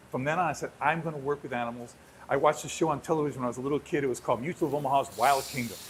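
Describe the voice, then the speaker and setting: A man with an American accent talks at a very fast pace. His fairly high voice is somewhat breathy. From New York City. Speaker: zoo animal expert. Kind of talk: casual chat. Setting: home kitchen live stream. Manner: animated.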